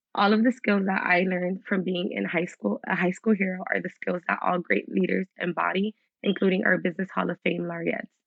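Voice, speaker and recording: The voice has an American accent and vocal fry. Its intonation stays fairly even. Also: woman, medium pitch for a woman, fairly quick pace. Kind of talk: scripted speech. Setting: virtual event.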